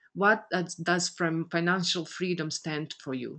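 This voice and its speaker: A woman's very deep, low voice with a Croatian accent. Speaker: business coach. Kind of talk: motivational webinar talk. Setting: online conference call. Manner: halting.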